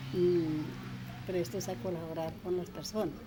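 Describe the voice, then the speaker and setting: Amid noticeable background noise and audible room echo, a woman with a fairly low pitch speaks at a very slow pace. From Colombia, Cundinamarca. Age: 70s. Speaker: elderly interviewee. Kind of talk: interview. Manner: halting, with many fillers.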